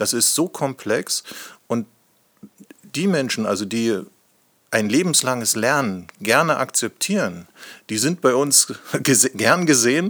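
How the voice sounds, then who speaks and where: A man's medium-pitched voice, very slow, with lively intonation, long and frequent pauses, and a dry, close sound with no echo. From Lusatia, eastern Germany (Hoyerswerda). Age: 50s. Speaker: company managing director. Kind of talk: podcast interview.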